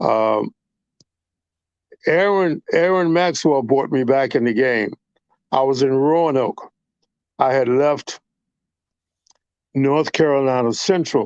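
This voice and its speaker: A man's fairly high-pitched voice with ordinary pitch variation and very even loudness, at a very slow pace with long, frequent pauses, dry and close with no echo. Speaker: radio DJ. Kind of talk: casual chat.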